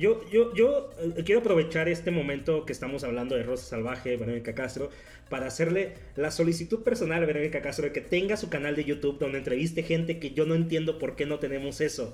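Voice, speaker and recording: A man speaks with a Mexican accent. He talks at a very fast pace. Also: fairly high pitch for a man, lively intonation. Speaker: podcast guest. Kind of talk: casual chat.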